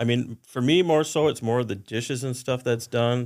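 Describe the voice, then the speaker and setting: Speaking at a fairly quick pace, a man with an American accent uses an ordinary speaking voice at a medium pitch. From Wisconsin (Oshkosh). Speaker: chef. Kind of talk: casual chat.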